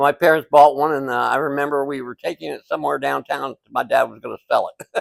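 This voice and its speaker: A man with an American accent talks at a very fast pace, with big swings in loudness. The sound is dry and close, with no echo. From US Midwest, Indianapolis. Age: 70s. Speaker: refrigeration businessman. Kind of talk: casual interview. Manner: halting.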